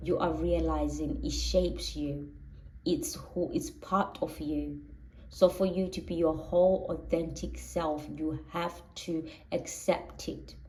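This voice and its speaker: Speaking very slowly in a Zulu accent, a woman is heard with audible room echo. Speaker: tarot reader. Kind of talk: tarot reading monologue.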